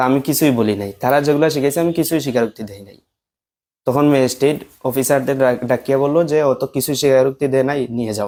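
A man with a medium pitch talks in an ordinary speaking voice with fairly even intonation. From Bangladesh, Moulvibazar district (Sylhet region). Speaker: former madrasa student, alleged victim of false case. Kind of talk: testimony.

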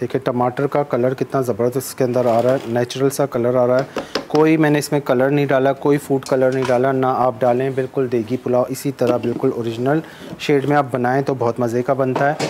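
Faint background noise runs under a man speaking at a fairly quick pace with few pauses, a medium pitch, little pitch movement and a slightly mellow tone.

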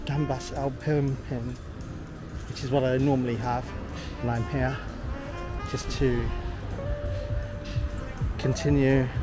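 Against clear music in the background, a man speaks at a fairly slow pace with long, frequent pauses, and the sound is dry with no echo. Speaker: travel vlogger. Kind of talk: casual vlog chat. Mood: relaxed, pleased. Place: street. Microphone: phone near.

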